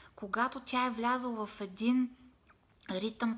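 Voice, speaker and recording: Somewhat breathy and fairly high in pitch, a woman talks at a fairly slow pace with fairly even intonation. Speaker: meditation and self-help vlogger; self-help vlogger. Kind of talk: motivational live video talk. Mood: calm, warm, expressive. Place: home room. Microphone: phone near.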